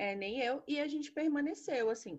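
Against a quiet background, a woman talks at a moderate pace with lively intonation. She has a normal speaking voice. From Brasília, Brazil. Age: 20s. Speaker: podcast co-host, history teacher. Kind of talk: casual chat.

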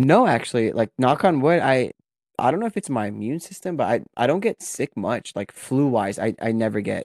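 An ordinary speaking voice from a man at medium pitch, lively in intonation and moderate in pace, on a very clean recording with a silent background. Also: dry, close sound with no echo. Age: 20s. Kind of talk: casual chat.

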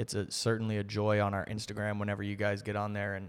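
The recording is very clean with a silent background. A man speaks with a fairly low voice in an American accent. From US South. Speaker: podcast co-host. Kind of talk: casual chat.

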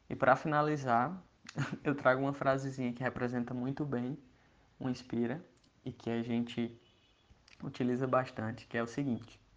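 Monotone, flat intonation runs through speech at a moderate pace with long, frequent pauses. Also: man, medium pitch for a man. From Brazil, Ceará interior (Iguatu). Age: 20s. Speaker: entrepreneur, creativity educator. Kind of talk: casual talk to listeners.

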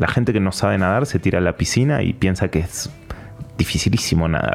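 A man talks at a fairly quick pace in an Argentine accent. His voice is very deep and low, with music in the background. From Argentina, Patagonia. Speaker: meditation and breathing teacher. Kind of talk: interview.

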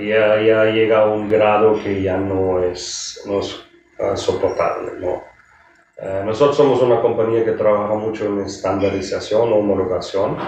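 In a room with audible echo and noticeable background noise, a man with a German accent speaks at a fairly slow pace, his fairly low pitch held in a monotone, flat intonation. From Germany. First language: German (speaking Spanish). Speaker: hotel executive. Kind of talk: interview. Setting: hotel.

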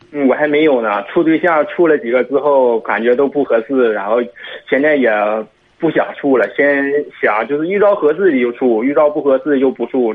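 At a moderate pace, a man with a fairly high pitch talks in a plain, everyday voice, his pitch varying in an ordinary way. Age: 20s. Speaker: caller seeking advice. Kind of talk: radio call-in consultation.

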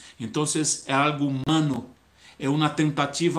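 A man's fairly high-pitched voice comes through with audible echo from the room. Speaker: online church preacher. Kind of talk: sermon. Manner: halting.

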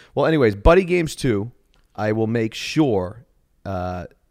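With an American accent and ordinary pitch variation, a man is heard in a very clean recording against a silent background. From Boston. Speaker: podcast host. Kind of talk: casual chat.

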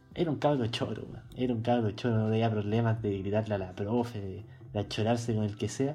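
At a fairly quick pace, a man speaks in a medium pitch with a dark, mellow, somewhat breathy tone and fairly even intonation. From Chile, Santiago. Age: 20s. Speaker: podcast co-host, journalism student. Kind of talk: casual chat. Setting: video call.

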